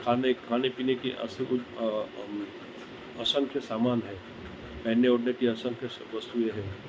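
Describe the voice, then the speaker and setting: With big swings in loudness and noticeable background noise, a man talks at medium pitch in a monotone, flat intonation. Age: 60s. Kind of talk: sermon. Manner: halting.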